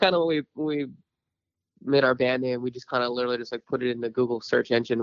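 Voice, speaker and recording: Speaking at a fairly quick pace with fairly even intonation, a man has a plain, everyday voice of medium pitch and an American accent. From San Diego, California. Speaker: musician. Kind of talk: interview. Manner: casual, filler-heavy.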